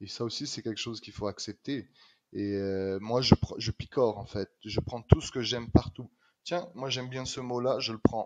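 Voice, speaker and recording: A man with a slight Quebec accent, medium in pitch, with big swings in loudness. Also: ordinary pitch variation, moderate pace. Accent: slight Québécois French. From France, Normandy. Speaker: street artist. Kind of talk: podcast interview.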